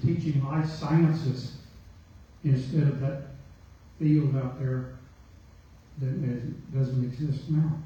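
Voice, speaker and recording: Audible room echo surrounds a man speaking very slowly in a monotone, flat intonation. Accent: Arkansas. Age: 60s. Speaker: community member. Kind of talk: public meeting comment. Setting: community meeting.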